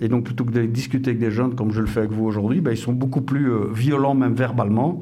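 Over noticeable background noise, a man talks at a very fast pace with hardly any pauses and fairly even intonation. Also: medium pitch for a man, very even loudness. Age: 50s. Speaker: police officer. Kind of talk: interview.

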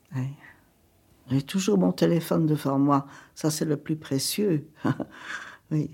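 Very slow speech with long, frequent pauses carries vocal fry and a dark, mellow tone, recorded very cleanly against a silent background. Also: woman, very deep, low pitch for a woman. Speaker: elderly woman interviewed at home. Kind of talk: documentary interview.

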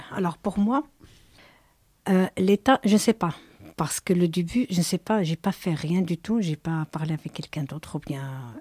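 At a moderate pace, the voice is somewhat breathy with a dark, mellow tone, lively intonation, and long, frequent pauses. The sound is dry and close with no echo, on a very clean recording with a silent background. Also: woman, fairly low pitch for a woman. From abroad. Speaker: migrant mother, former squatter. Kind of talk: testimony. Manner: halting.

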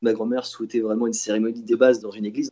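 With fairly even intonation, a man rattles along at a very fast pace. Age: 20s. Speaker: toy store salesman. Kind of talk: personal testimony. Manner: hesitant with fillers.

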